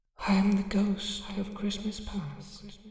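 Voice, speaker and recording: Soft-spoken and fairly slow, a put-on character voice at a fairly high pitch delivers monotone, flat intonation with a clear echo. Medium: read story. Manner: mild, quiet, solemn.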